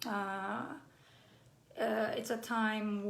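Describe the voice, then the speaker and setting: Audible room echo surrounds a woman speaking with a Brazilian accent, medium pitch and fairly even intonation. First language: Brazilian Portuguese. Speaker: playwright. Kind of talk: live online talk. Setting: live stream. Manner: halting, many fillers.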